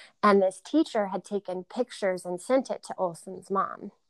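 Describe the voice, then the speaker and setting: A woman with an American accent talks in a normal speaking voice at a moderate pace. Her pitch varies in an ordinary way, and the sound is dry and close with no echo. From North Carolina, Greensboro. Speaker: yoga studio owner. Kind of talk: casual interview.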